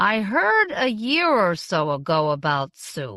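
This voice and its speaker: A woman's raspy, put-on character voice, medium in pitch, with very wide pitch swings and a fairly slow pace. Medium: read story.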